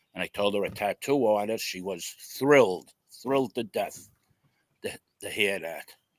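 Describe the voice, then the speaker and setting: With a New York accent, a man takes long, frequent pauses, recorded with a dry, close sound and no echo. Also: medium pitch for a man, ordinary pitch variation, moderate pace. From New York City. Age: 60s. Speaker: tattoo artist. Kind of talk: interview storytelling. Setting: live video interview.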